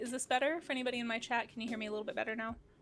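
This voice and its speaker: Music plays behind a woman with a high voice. She sounds animated and talks at a very fast pace. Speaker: art streamer and teacher. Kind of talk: casual chat. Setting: live stream. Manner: soft-spoken. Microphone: too quiet, directional mic.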